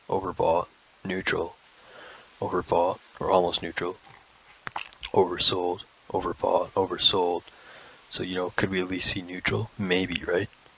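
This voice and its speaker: A man speaks with long, frequent pauses. Noticeable background noise can be heard. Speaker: crypto trading video host. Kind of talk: tutorial. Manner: fast; halting, many fillers and restarts.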